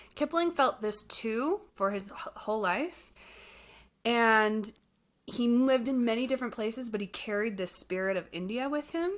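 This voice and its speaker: With an American accent, a woman uses a plain, everyday voice that is fairly high in pitch and lively in intonation. The recording is very clean, with a silent background. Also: moderate pace. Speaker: podcast co-host. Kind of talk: casual chat.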